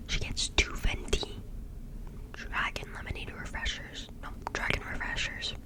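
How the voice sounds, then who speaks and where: Through noticeable background noise, a woman is heard whispering. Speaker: ASMR creator who works a drive-thru coffee job. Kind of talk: casual talk to camera, ASMR-style rambling. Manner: whispered, chatty.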